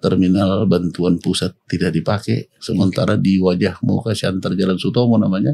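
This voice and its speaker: A man speaks at a very deep, low pitch in a dark, mellow tone with ordinary pitch variation. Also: moderate pace, hardly any pauses. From Pematangsiantar, North Sumatra, Indonesia. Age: 60s. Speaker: mayoral candidate. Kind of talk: podcast interview. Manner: conversational.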